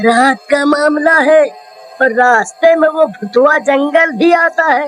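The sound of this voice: A cartoonish character voice plays over music in the background.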